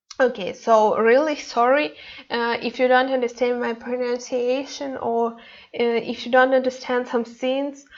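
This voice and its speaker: In a Ukrainian accent, a woman speaks at a fairly slow pace. Her high voice keeps a fairly even intonation. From Ukraine. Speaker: language teacher. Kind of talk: lecture. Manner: halting.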